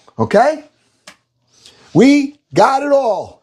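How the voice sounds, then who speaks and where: A man with ordinary pitch variation. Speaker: cooking livestreamer. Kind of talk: live cooking stream chat. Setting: livestream. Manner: loud; animated.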